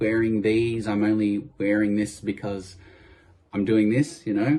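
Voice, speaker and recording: This man talks at a fairly slow pace in a fairly low pitch, his tone dark and mellow, with an Australian accent. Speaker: tribute artist. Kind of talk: interview. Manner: hesitant, many fillers.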